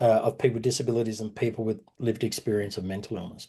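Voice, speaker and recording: A man with an Australian accent, very fast pace, medium pitch, a dark, mellow tone and a somewhat breathy quality. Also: quiet background. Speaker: workshop facilitator. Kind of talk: online workshop presentation. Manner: fast when worried about time.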